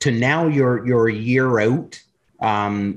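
Speaking at a fairly slow pace, a man with a medium pitch has an unremarkable speaking voice and lively intonation. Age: 40s. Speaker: podcast host. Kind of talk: casual chat.

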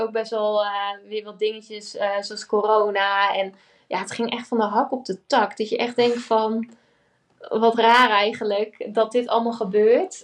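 Against a quiet background, a woman speaks at a fairly high pitch and a moderate pace with monotone, flat intonation. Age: 20s. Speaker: entrepreneur. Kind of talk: interview.

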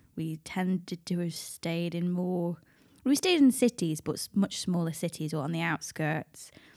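Over a silent background on a very clean recording, a woman talks in a normal speaking voice, fairly low in pitch with ordinary variation, the sound dry and close with no echo. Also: moderate pace. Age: 30s. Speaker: podcast co-host. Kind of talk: casual chat.

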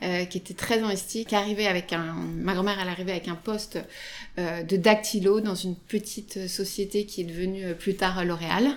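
This woman's intonation is monotone and flat. She talks at a moderate pace and a medium pitch. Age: 30s. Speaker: retail food buyer. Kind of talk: interview. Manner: hesitant, many fillers.

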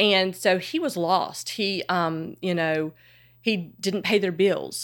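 On a very clean recording with a silent background, a woman with a Southern US accent talks at a fairly slow pace, her medium pitch following fairly even intonation. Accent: Southern American. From US South, Charlotte, North Carolina. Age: 50s. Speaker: fashion blogger and podcaster. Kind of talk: casual interview chat.

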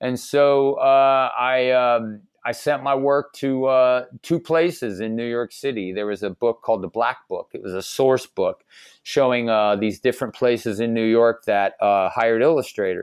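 A man's unremarkable speaking voice with an American accent, medium pitch, at a moderate pace. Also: ordinary pitch variation. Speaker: caricature artist. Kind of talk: casual interview chat.

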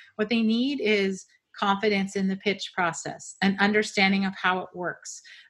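Her voice is a plain, everyday voice at a medium pitch, belonging to a woman with fairly even intonation. The recording is very clean, with a silent background. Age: 50s. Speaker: book coach and former publishing editor. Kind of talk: interview conversation.

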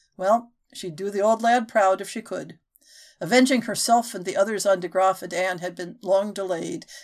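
Unforced reading against a quiet background

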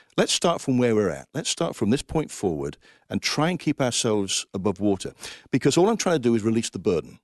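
Speaking at a fairly quick pace with an English Midlands accent, a man's medium-pitched voice swings very widely. The sound is dry and close with no echo, over a quiet background. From Coventry, England. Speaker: Salvation Army finance officer. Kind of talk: interview about faith and finances.

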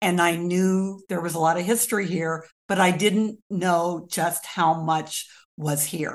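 A woman speaks very slowly with an American accent. Her pitch is fairly low. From US Midwest, rural Kansas. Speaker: local historian and author. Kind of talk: interview.

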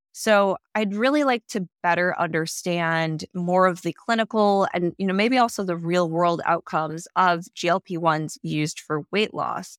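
A woman with a plain, everyday voice talks at a fairly slow pace, her pitch fairly low and its variation ordinary. The sound is dry and close with no echo, on a very clean recording with a silent background. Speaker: podcast host and strategist. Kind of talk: casual chat.

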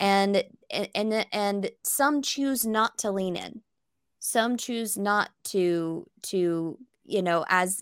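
On a very clean recording with a silent background, a woman uses an unremarkable speaking voice at a medium pitch with ordinary pitch variation. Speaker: podcast co-host. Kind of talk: interview.

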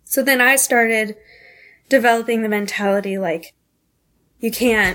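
A woman with an American accent has an unremarkable speaking voice and a fairly high pitch. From North Carolina, Asheville. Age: 20s. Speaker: nanny. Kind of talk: personal testimony interview.

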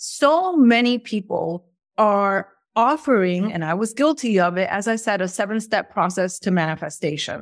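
Her intonation lively, a woman speaks at a medium pitch and a moderate pace. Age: 40s. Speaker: podcast host and manifestation coach. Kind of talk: online course lecture. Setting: hotel room. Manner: animated.

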